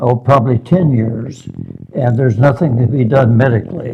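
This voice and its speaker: The pace is moderate and the intonation fairly even. Noticeable background noise runs underneath. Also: man. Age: 90s. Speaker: physical therapy patient. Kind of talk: interview. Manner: halting.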